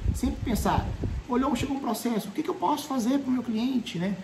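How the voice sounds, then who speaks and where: The speaker has a Brazilian accent. Noticeable background noise runs underneath. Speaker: law professor. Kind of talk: lecture. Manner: fast; animated.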